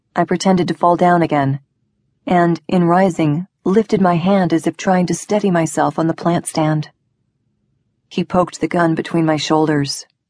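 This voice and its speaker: Against a quiet background with a dry, close sound and no echo, a woman with an unremarkable speaking voice and a fairly low pitch talks at a moderate pace, keeping her intonation fairly even and her loudness very even. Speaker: audiobook narrator. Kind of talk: dramatic first-person audiobook narration of a thriller, with tense dialogue.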